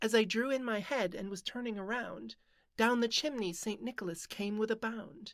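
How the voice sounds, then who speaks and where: A normal speaking voice from a woman, fairly high in pitch, with ordinary pitch variation at a moderate pace in a very clean recording with a silent background. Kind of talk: poetry reading.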